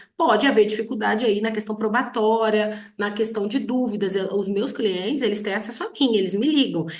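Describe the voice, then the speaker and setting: With audible room echo, a woman talks at a moderate pace in a fairly high pitch with ordinary pitch variation. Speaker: lawyer and online teacher. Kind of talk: online lecture. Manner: many filler hesitations.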